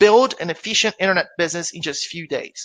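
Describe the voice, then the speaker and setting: A man with a Brazilian Portuguese accent speaks very fast in a raised, projected voice, high in pitch with a bright, sharp tone. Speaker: affiliate marketer presenting webinar. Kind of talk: webinar presentation. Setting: live online webinar. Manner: conversational, with filler hesitations.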